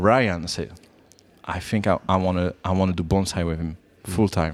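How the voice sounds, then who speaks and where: A man with a French accent and a very deep, low pitch talks at a moderate pace with fairly even intonation. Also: very clean recording, silent background. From France. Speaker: bonsai professional. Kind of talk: interview. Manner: halting.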